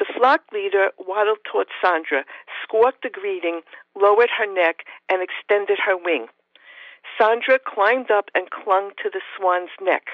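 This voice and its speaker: A woman with a New York accent, medium pitch, ordinary pitch variation and a moderate pace. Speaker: professor and author of feminist science fiction. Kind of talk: interview, with a reading aloud of her own short story.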